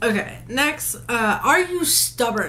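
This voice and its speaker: An animated tone comes through with audible room echo. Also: woman. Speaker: vlogger. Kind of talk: casual vlog, answering questions. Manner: halting, stuttering.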